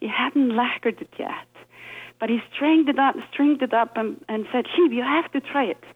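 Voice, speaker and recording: A woman speaks with an Icelandic accent. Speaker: violinist. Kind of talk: interview.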